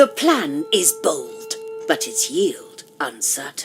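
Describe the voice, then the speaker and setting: Over faint background music, a put-on character voice pitched extremely high drags along at a very slow pace. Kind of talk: dark fairy tale narration. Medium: solo performance. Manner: measured, dramatic.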